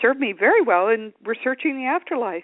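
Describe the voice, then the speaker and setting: A woman's ordinary speaking voice, an ordinary speaking voice at a fairly high pitch, with lively intonation and a moderate pace. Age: 60s. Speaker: attorney and afterlife author. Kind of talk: radio interview.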